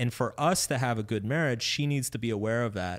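Over a very clean recording with a silent background, a man talks at a moderate pace and medium pitch with ordinary pitch variation, an ordinary speaking voice. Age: 30s. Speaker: author. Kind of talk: interview. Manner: casual.

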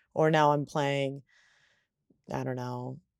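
Her tone dark and mellow, a woman is heard on a very clean, dry, close recording with no echo and a silent background. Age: 20s. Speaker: soccer player. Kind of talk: casual chat.

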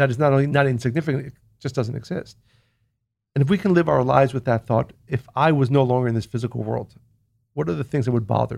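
A man speaks at a very fast pace, his voice showing vocal fry. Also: medium pitch for a man, ordinary pitch variation. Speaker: spiritual teacher and author. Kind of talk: casual interview conversation.

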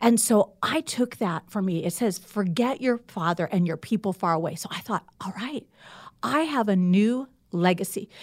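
In a very clean recording with a silent background, a woman with a plain, everyday voice talks at a moderate pace and medium pitch, her intonation lively. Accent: American. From US Midwest, Indiana. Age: 60s. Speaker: author and pastor. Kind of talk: casual interview.

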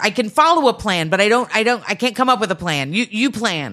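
A woman speaks at a fairly quick pace with a fairly high pitch, very wide pitch swings and vocal fry. Her tone is bright and sharp on a very clean recording with a silent background. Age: 40s. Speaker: comedian. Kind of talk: casual chat.

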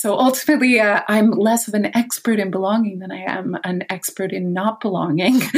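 A woman with a Canadian accent speaks in a somewhat breathy voice with lively intonation. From Canada. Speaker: author and dreamwork teacher. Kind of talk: interview conversation.

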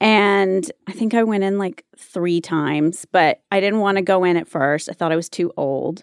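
A woman with an American accent speaks in an ordinary speaking voice at medium pitch and moderate pace, with ordinary pitch variation, hardly any pauses and a dry, close sound with no echo. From US South, North Carolina (Wilmington). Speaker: actress and talent manager. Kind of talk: casual chat.

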